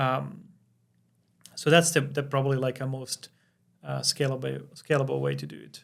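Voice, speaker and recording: Speaking at a moderate pace in a Finnish accent, a man leaves long, frequent pauses and his loudness swings widely. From Finland. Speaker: crypto company founder. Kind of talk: podcast interview. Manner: halting, many fillers.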